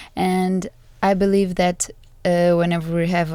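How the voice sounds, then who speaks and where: On a very clean recording against a silent background, a woman with a Portuguese accent speaks at a fairly slow pace in a fairly low pitch, with a dark, mellow tone and monotone, flat intonation. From Portugal. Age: 20s. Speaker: master's student. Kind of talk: casual chat.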